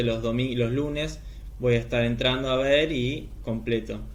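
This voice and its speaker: A man speaks at a moderate pace, and audible room echo can be heard around his voice. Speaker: teacher training lecturer. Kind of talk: recorded online lecture. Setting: recorded video class.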